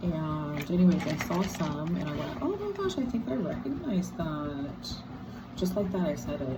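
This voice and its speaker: A woman with a very deep, low pitch speaks in a relaxed tone amid noticeable background noise and audible room echo. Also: ordinary pitch variation, moderate pace. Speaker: rock collector. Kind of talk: casual video talk. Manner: relaxed, hesitant with fillers.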